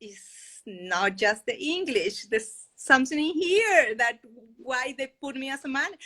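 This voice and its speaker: A woman with a Spanish accent uses a raised, projected voice at a high pitch, with very wide pitch swings, big swings in loudness, a bright, sharp tone and a fairly slow pace. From Chile. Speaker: podcast guest, financial independence advocate. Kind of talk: interview.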